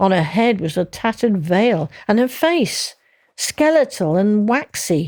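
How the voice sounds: A natural reading voice carries this clip.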